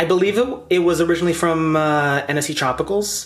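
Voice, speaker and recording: A man with a high voice and ordinary pitch variation talks at a fairly quick pace, with audible room echo and noticeable background noise. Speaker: plant content creator. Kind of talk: casual plant haul vlog. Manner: animated.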